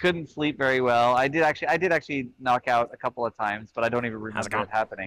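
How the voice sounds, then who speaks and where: A man with an American accent at a very fast pace, hardly any pauses, and a dry, close sound with no echo. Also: medium pitch for a man, ordinary pitch variation. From California. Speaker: comedy podcast co-host. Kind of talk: casual comedic banter. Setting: remote call from a cruise ship. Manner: halting.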